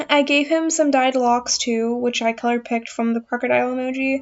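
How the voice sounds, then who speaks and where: Over music in the background, a woman with a high pitch talks at a fairly quick pace with fairly even intonation. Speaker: art YouTuber. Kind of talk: art commentary voiceover. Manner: fast.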